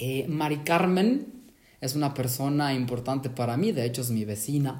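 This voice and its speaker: Somewhat breathy and fairly high, a man's voice moves at a fairly slow pace with lively intonation. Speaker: podcast host. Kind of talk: interview. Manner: enthusiastic.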